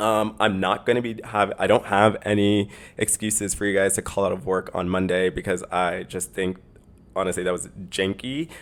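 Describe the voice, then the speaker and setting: At a moderate pace, a man speaks at a fairly low pitch with fairly even intonation. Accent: slight Canadian. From Canada. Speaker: podcast host. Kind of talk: casual solo podcast monologue.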